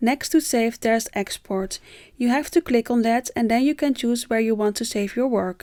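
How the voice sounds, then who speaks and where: A woman with a Dutch accent, fairly high pitch and a dark, mellow tone at a moderate pace, in a dry, close, very clean recording with a silent background and no echo. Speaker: tutorial creator. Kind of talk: tutorial.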